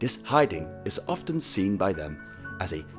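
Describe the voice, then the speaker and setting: A man talks with music playing in the background. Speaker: video essay narrator. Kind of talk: scripted documentary-style narration.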